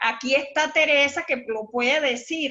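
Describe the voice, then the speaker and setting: A woman's raised, projected voice carries ordinary pitch variation. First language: Warao (speaking Spanish). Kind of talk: workshop discussion. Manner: halting, frequent repetitions.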